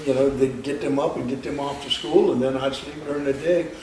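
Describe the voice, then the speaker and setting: A man talks at a fairly quick pace in a medium pitch with fairly even intonation. Audible room echo and noticeable background noise are present. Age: 70s. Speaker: bouncer. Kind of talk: interview. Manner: halting, many fillers.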